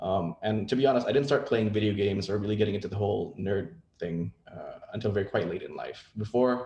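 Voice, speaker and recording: A man talks at a very fast pace with hardly any pauses, in a dark, mellow tone and a fairly low, somewhat breathy voice. His pitch varies in an ordinary way while his loudness swings widely. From Indonesia. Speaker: game industry executive. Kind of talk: presentation.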